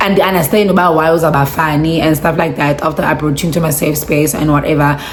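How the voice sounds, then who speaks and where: A woman's animated, very deep and low voice, with audible room echo and noticeable background noise. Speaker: vlogger. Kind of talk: storytime vlog. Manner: animated, code-switching.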